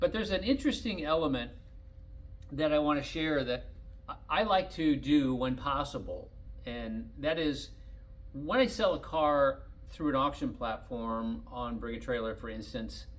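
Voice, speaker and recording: A man's speech, at a moderate pace, comes with audible room echo. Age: 60s. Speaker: collector car dealer. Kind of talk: casual monologue.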